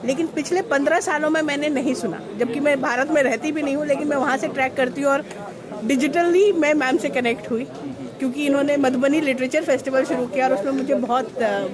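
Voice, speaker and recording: Against crowd noise in the background and audible room echo, the voice moves at a moderate pace with ordinary pitch variation. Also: woman. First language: Maithili (speaking Hindi). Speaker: awards organiser. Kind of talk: interview.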